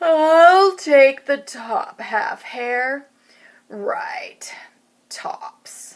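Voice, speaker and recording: This put-on character voice is high-pitched. It moves at a very slow pace. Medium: read story. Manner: slow, drowsy.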